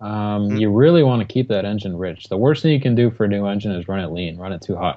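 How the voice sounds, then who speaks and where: Fairly quick in pace, a man with an American accent has a normal speaking voice and a fairly low pitch. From Rochester, New York, US. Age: 20s. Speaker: competitive RC helicopter pilot. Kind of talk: casual chat.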